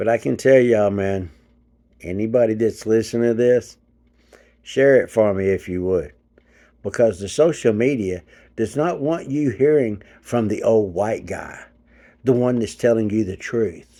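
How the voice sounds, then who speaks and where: Long, frequent pauses break up a dark, mellow voice with an American accent on a very clean recording with a silent background. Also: man, medium pitch for a man, ordinary pitch variation, moderate pace. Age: 50s. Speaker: channel owner, commentator. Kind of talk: casual monologue rant. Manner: animated.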